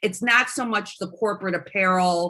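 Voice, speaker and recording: A woman speaks at a moderate pace in an unremarkable speaking voice, medium in pitch with ordinary pitch variation. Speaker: promotional products sales rep. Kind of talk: product presentation.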